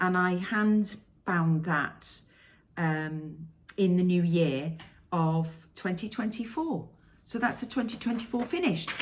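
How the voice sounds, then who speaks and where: A somewhat breathy voice moves at a very slow pace with ordinary pitch variation, with audible room echo around it. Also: woman, medium pitch for a woman. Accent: Welsh. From Wales. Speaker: cross-stitch vlogger. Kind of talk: casual vlog monologue.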